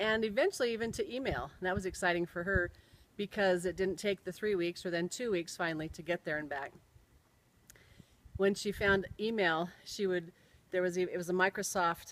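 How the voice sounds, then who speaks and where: This is a normal speaking voice in an American accent, moving at a fairly quick pace. The recording is very clean, with a silent background. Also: woman, medium pitch for a woman, ordinary pitch variation. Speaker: storyteller. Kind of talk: personal storytelling.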